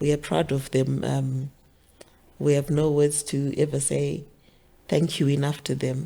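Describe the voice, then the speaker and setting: With a Zimbabwean accent, a woman speaks fairly slowly in a dark, mellow, very deep voice, keeping a flat monotone and leaving long, frequent pauses. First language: Shona. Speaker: author. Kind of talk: interview.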